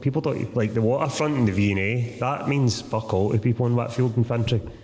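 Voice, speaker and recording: Noticeable background noise and audible room echo surround a man who talks at a very fast pace in a Lanarkshire accent. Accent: Lanarkshire Scottish. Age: 30s. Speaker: author. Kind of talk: live Q&A answers. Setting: stage with audience.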